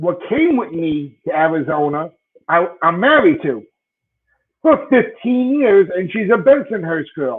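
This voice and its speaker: A man with a strong Brooklyn accent speaks at a fairly slow pace in a high pitch with very wide pitch swings. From Brooklyn, New York. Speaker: sports podcast co-host. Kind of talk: casual chat. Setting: live stream.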